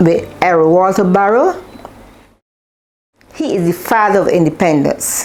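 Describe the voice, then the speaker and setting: In a Barbadian accent, the speaker moves at a fairly slow pace with ordinary pitch variation and long, frequent pauses. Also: woman, medium pitch for a woman. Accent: Barbadian (Bajan). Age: 70s. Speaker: interviewee, elder recalling history. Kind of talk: interview testimony.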